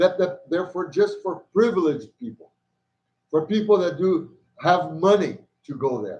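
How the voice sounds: Lively intonation marks this man's fairly high, slightly mellow voice. He speaks at a fairly slow pace.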